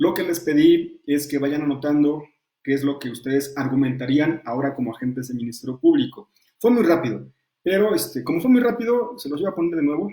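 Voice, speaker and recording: A man's fairly high, dark and mellow voice at a fairly quick pace, with lively intonation. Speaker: law lecturer and defense lawyer. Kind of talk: online lecture. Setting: virtual class. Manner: fast.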